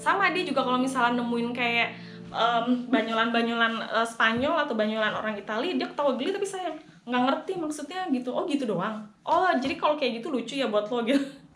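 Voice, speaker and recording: Her high pitch and lively intonation stand out as a woman talks at a fairly quick pace. Audible room echo and noticeable background noise surround her voice. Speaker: vlogger. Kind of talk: personal vlog monologue. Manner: casual, conversational with fillers.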